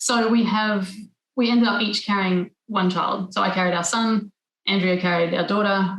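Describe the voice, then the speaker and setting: Somewhat breathy, a woman speaks with an Australian accent in a monotone, flat intonation. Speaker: environmental lawyer and parent. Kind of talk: podcast interview.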